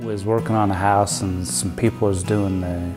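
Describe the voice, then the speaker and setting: Over music in the background, a man with an American accent talks at a moderate pace, his fairly low pitch rising and falling with lively intonation. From Rexburg, Idaho. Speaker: cabinetmaker. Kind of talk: documentary interview answer.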